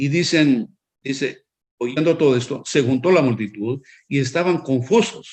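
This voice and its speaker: A man's voice sits at a medium pitch. Lively intonation runs through his speech. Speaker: preacher. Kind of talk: sermon. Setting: online broadcast. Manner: halting, with fillers and restarts.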